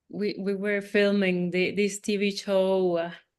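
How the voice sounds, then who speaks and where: A woman with a Spanish accent speaks fairly slowly at a medium pitch against a quiet background. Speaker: actress and jazz singer. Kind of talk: interview. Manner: halting, frequent repetitions.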